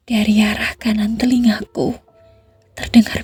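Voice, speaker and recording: Music plays in the background as a woman speaks. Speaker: ASMR horror storyteller. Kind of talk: whispered ASMR horror story. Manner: whispered, soft, slow.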